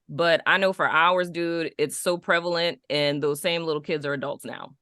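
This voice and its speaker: A woman's fairly low, bright and sharp voice with a New Orleans accent, animated and at a moderate pace, over a quiet background. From Dallas, Texas, then New Orleans as a teen. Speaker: podcast co-host. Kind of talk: casual chat.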